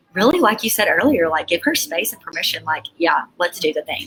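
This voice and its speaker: A woman speaks with a Southern US accent. Her pitch sits fairly low. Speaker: author and coach. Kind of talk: interview answer.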